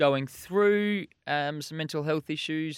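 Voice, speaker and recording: The tone is bright and sharp with ordinary pitch variation, on a very clean recording with a silent background. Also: man. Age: 30s. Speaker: podcast co-host. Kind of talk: casual chat.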